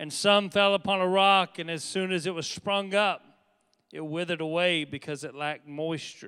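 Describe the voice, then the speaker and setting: Bright and sharp in tone, a man speaks at a high pitch with fairly even intonation in a very clean recording with a silent background. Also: moderate pace. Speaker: pastor. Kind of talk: sermon. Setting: church. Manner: earnest, preacherly, exhorting; urgent, rhetorical questions.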